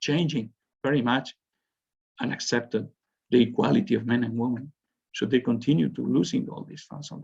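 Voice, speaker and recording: A man with a Spanish accent and vocal fry at a moderate pace. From Spain. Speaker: university professor. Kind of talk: lecture. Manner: halting.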